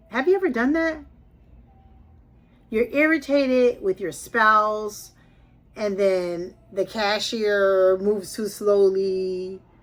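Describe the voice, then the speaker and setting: Backed by music in the background, a woman with a fairly high pitch speaks with lively intonation. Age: 60s. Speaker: lifestyle vlogger. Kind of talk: personal storytelling vlog. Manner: conversational.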